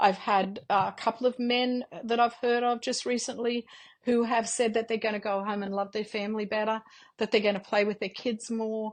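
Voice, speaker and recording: Against a quiet background, a woman with an Australian accent speaks in a flat monotone. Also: fairly high pitch for a woman, moderate pace. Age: 60s. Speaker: mother and homeschooling parent. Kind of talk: interview. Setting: podcast interview. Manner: halting, many fillers.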